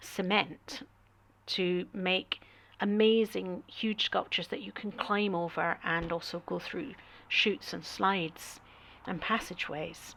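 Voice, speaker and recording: A woman speaks with a Scottish accent at a medium pitch and a fairly slow pace. Her tone is bright and sharp, with ordinary pitch variation. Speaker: artist and travel vlogger. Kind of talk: travel talk over slideshow. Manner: hesitant, many fillers.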